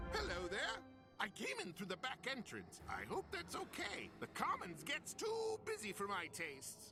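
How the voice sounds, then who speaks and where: Clear background music behind a cartoonish character voice delivered at a moderate speed. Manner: friendly, earnest.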